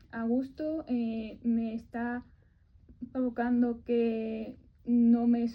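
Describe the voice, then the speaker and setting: A woman's high voice, dark and mellow in tone, with monotone, flat intonation. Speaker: person who stutters sharing her story. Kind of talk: radio interview answer. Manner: stutters.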